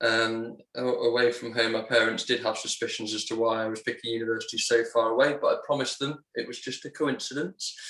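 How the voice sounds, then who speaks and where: Words come at a moderate pace. A bright, sharp tone marks the voice. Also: man. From West Midlands, England (Sutton Coldfield/Walsall). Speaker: aeronautical engineer, church member. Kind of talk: casual interview.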